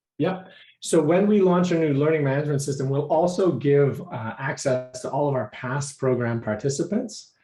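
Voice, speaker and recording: Somewhat breathy and dark, mellow in tone, a man speaks at a fairly high pitch with ordinary pitch variation. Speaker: program director at a startup accelerator. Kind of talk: online meeting presentation. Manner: fast.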